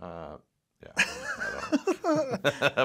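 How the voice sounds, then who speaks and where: A man speaking at a very slow pace. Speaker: podcast host. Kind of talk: casual interview talk.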